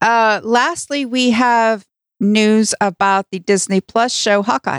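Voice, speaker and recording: A woman's fairly high voice with an American accent, very slow pace, ordinary pitch variation, big swings in loudness, and a dry, close sound with no echo. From northern US. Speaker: podcast co-host. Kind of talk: casual chat. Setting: studio, livestreamed.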